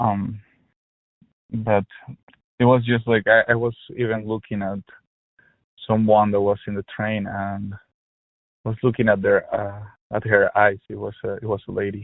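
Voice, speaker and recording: With a Spanish accent, a man speaks at a moderate pace in a flat monotone, leaving long, frequent pauses. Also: fairly low pitch for a man. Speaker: helpline caller. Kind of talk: personal phone conversation. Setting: phone call. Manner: halting, many fillers and repetitions.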